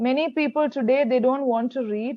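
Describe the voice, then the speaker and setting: With a Keralan accent, the speaker talks at a fairly quick pace. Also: woman. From India, Kerala. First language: Malayalam. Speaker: English tutor. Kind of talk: online tutoring conversation.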